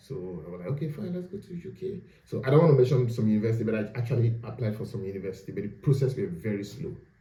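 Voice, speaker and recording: A man at a very fast pace, very wide pitch swings and big swings in loudness, amid audible room echo. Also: medium pitch for a man, hardly any pauses. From Nigeria. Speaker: postgraduate student. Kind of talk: casual interview.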